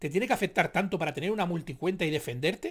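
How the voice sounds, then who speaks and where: A man in an animated tone, with a quiet background. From Spain. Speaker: youtuber commentator. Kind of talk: casual commentary monologue; reading news article aloud. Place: home room.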